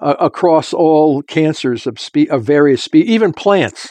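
With a normal speaking voice, a man talks at a fairly slow pace in a fairly high pitch with lively intonation, the sound dry and close with no echo. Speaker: scientist. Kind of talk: interview explaining theory.

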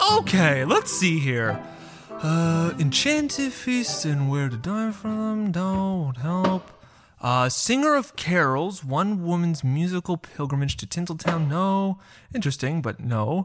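The pace is fairly slow, in a put-on character voice. Its pitch sits in the middle range. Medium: audio drama. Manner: eager, flustered.

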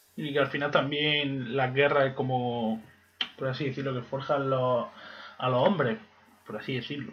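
There is noticeable background noise as a man of medium pitch talks. He leaves long, frequent pauses. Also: ordinary pitch variation, moderate pace. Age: 20s. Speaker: history graduate podcast co-host. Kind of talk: casual chat.

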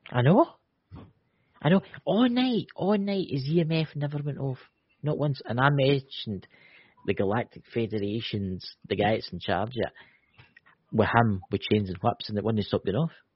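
A man's somewhat breathy, medium-pitched voice in a Scottish accent, at a moderate pace, with very wide pitch swings and long, frequent pauses. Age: 40s.

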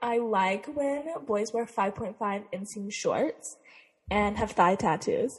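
Very slow, somewhat breathy speech from a woman with an American accent, fairly high-pitched with ordinary pitch variation. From Utah. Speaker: podcast co-host. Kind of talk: casual chat.

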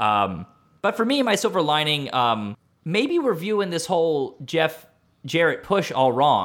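A man with a fairly high voice talks at a fairly slow pace, his pitch swinging very widely. The recording is very clean, with a silent background. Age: 30s. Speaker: wrestling podcast host. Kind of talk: casual chat.

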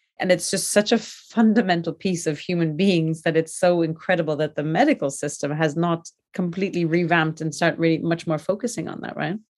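A woman talks at a fairly quick pace in an unremarkable speaking voice. Her pitch is fairly low, with ordinary pitch variation. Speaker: podcast host. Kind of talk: interview. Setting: video call.

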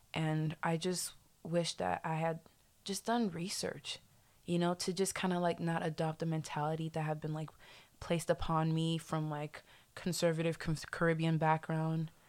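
The recording is very clean, with a silent background. The speaker goes at a moderate pace with monotone, flat intonation. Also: woman, fairly low pitch for a woman. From Haiti. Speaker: guest. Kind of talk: casual chat, podcast interview.

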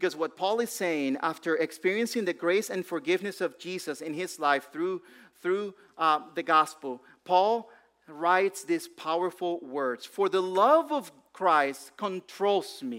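A man with a non-native accent speaks at a fairly slow pace. His pitch is high and his intonation lively. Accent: foreign accent in English. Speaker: pastor. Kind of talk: sermon. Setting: church. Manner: halting.

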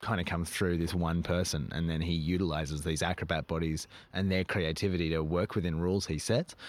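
Speaking at a fairly quick pace with an Australian accent, a man with a very deep, low pitch is heard in a very clean recording with a silent background. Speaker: circus performer and troupe director. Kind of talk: casual interview chat.

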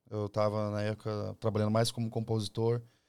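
A man with fairly low pitch, monotone, flat intonation, and a fairly quick pace. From Campo Grande, Mato Grosso do Sul. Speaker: sertanejo singer and songwriter. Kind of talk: casual interview. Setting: studio.

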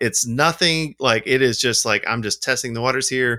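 In an Alabama accent, a bright, sharp voice moves at a moderate pace with ordinary pitch variation, on a very clean recording with a silent background and a dry, close sound with no echo. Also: man. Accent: Southern US (Alabama). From US South, Alabama. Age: 40s. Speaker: film lab owner and wedding photographer. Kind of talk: casual chat. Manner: rambling, animated.

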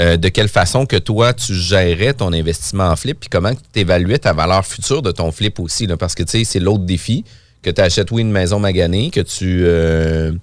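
A man's very deep, low pitch with ordinary pitch variation at a moderate pace, in a very clean recording with a silent background. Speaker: podcast host, real estate broker. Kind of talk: casual chat.

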